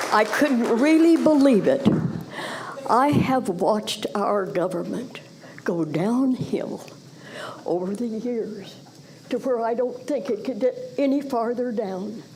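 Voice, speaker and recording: With an American accent and lively intonation, the speech moves at a very slow pace with long, frequent pauses, amid audible room echo and noticeable background noise. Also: woman, fairly high pitch for a woman. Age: 90s. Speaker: public commenter, taxpayer. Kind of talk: public comment. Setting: county commissioners court meeting.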